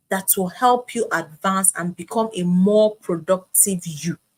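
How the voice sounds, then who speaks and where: A woman speaks at a very slow pace, somewhat breathy. Her pitch variation is ordinary. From Nigeria, Onitsha, Anambra State. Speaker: online trainer / coach. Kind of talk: online training lecture. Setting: livestream. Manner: animated.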